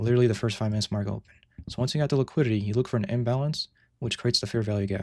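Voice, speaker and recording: On a very clean recording with a silent background, a man with a medium-pitched voice speaks very fast with ordinary pitch variation. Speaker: day trader streaming live trades. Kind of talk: live stream tutorial with chat Q&A. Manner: casual, halting with repetitions.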